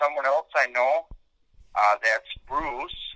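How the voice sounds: A man at fairly high pitch, with a bright, sharp tone, slow pace and lively intonation, in a dry, close sound with no echo.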